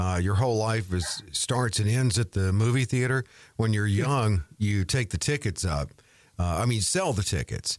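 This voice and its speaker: A normal speaking voice from a man, fairly low in pitch with ordinary pitch variation, moderate pace, very even loudness, very clean recording, silent background. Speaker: co-host and announcer. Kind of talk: radio talk show co-host.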